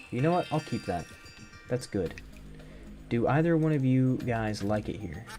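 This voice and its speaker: Music sits in the background while a man, at a moderate pace, leaves long and frequent pauses. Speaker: gaming streamer. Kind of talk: live gameplay stream. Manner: halting.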